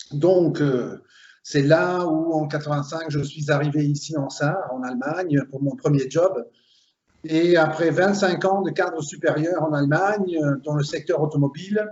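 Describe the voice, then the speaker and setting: A man's normal speaking voice, fairly high-pitched, fairly slow, with fairly even intonation. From Belgium (Flemish, Limburg). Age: 50s. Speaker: recruiter, HR consultant. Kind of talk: interview.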